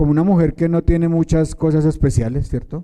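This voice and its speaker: A man's voice carries a dark, mellow tone at a high pitch. He speaks at a moderate pace. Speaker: preacher. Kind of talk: sermon.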